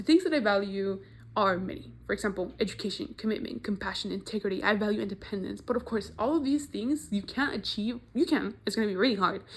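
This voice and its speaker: With vocal fry and lively intonation, a woman rattles along at a very fast pace in a medium pitch, hardly pausing at all. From Mexico. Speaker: university student. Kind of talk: class presentation video.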